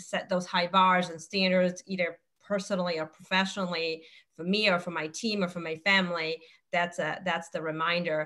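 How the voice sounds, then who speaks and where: This woman speaks with a non-native accent at a moderate pace. Her fairly low voice stays monotone and flat. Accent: foreign. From outside the US. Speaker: insurance executive and panelist. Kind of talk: webinar panel discussion.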